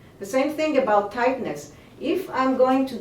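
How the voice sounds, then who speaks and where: Fairly slow speech from a woman, noticeable background noise, and audible echo in the room. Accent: Israeli. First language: Hebrew. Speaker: movement teacher. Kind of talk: interview. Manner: halting.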